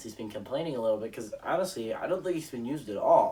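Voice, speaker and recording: A man rattles off his words at a very fast pace. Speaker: sports YouTuber. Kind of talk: solo sports predictions monologue. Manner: animated.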